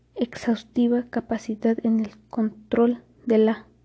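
A woman speaks in a flat monotone at a fairly high pitch, her tone dark and mellow and somewhat breathy. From Mexico, Querétaro. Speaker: cook. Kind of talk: reading aloud. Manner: formal.

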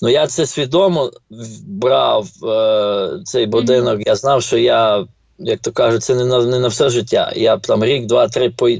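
This is a plain, everyday voice at a fairly slow pace. Its loudness stays very even, with ordinary pitch variation. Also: man, medium pitch for a man. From Ukraine, Ternopil. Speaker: finance professional and real estate investor. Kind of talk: casual interview.

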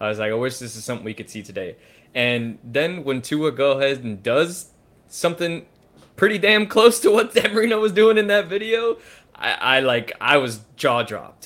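At a moderate pace, a man with a fairly high pitch makes very wide pitch swings and big swings in loudness. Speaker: podcast host. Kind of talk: casual sports podcast chat.

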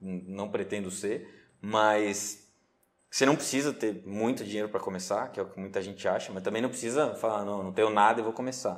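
A man's unremarkable speaking voice, fairly low in pitch, at a fairly quick pace with ordinary pitch variation. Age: 30s. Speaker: day trader. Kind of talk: interview.

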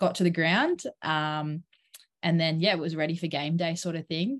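At a moderate pace, a woman with a fairly low pitch speaks in an Australian accent over a quiet background. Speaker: professional cricketer. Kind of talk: interview. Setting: at home.

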